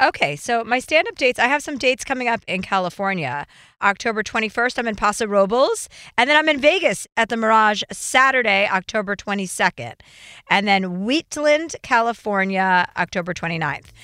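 Bright and sharp in tone, a woman with a fairly high voice speaks at a fairly quick pace with lively intonation and a slight New Jersey accent. The recording is very clean, with a silent background and a dry, close sound with no echo. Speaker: comedian and podcast co-host. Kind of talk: casual chat.

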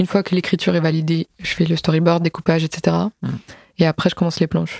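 The voice has a dark, mellow tone and a flat, monotone intonation. It moves at a fairly quick pace. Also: woman, dry, close sound with no echo. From Alsace, France. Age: 20s. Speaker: comic book author and illustrator. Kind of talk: casual interview.

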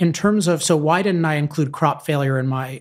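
A normal speaking voice from a man, fairly high in pitch, fairly even in intonation, at a moderate pace, on a very clean recording with a silent background. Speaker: author. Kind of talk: interview.

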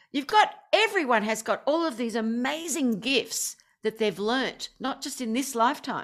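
A woman's high voice with an Australian accent, very wide pitch swings and a moderate pace. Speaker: singer and affirmation coach. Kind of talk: casual chat.

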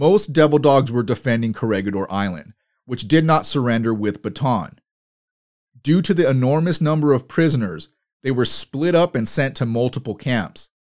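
A man's ordinary speaking voice at a medium pitch, moderately paced, with lively intonation. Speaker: podcast host and military history narrator. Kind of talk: history documentary narration. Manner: solemn, measured, even-paced; formal, factual, sombre.

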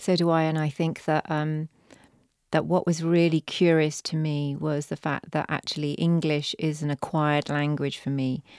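A woman with a British accent speaks in a very deep, low pitch with monotone, flat intonation. The recording is very clean with a silent background, and the sound is dry and close with no echo. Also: moderate pace. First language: Punjabi. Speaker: poet and novelist, former human rights lawyer. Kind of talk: interview conversation. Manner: halting, with repetitions.

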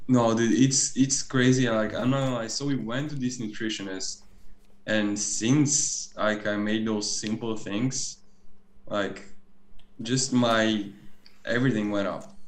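With fairly even intonation, a man speaks at a fairly slow pace with long, frequent pauses, and room echo is audible. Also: medium pitch for a man. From Bulgaria. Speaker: professional volleyball player. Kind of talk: casual chat.

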